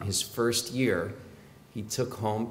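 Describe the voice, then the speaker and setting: A man speaks very slowly in a fairly low, somewhat breathy voice with fairly even intonation, over light background noise. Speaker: rabbi delivering his father's eulogy. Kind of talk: eulogy at a funeral, warm family storytelling honoring his late father. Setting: funeral service before mourners. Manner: tender and grateful, with fond chuckles at family anecdotes; measured, narrative pacing with occasional 'uh' hesitations. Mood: warm, reflective, lightly humorous. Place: church. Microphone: podium.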